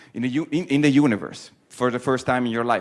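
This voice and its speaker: Speaking with an Italian accent, a man moves at a fairly quick pace at a medium pitch. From Italy. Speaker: poet. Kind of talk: talk to students. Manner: halting.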